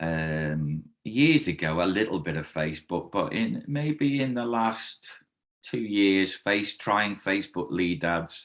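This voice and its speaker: A man with a slight Liverpool accent speaks at a fairly slow pace in a fairly low pitch. His pitch swings very widely on a very clean recording with a silent background. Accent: mild Liverpool (Scouse). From Liverpool, England. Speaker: karate instructor. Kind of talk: interview testimonial.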